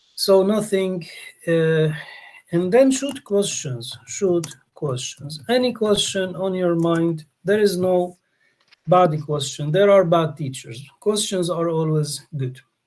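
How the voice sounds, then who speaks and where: Very slowly, a man with a Polish accent speaks in a high pitch with ordinary pitch variation. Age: 40s. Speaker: English teacher, workshop leader. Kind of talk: online language workshop.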